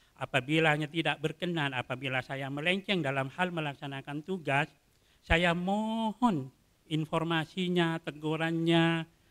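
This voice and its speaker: Fairly high in pitch, a man's voice has a bright, sharp tone and ordinary pitch variation. He speaks at a fairly slow pace against a quiet background. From Madura, Indonesia; Indonesia. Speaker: court clerk. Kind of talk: formal introduction speech. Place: hall. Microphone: podium.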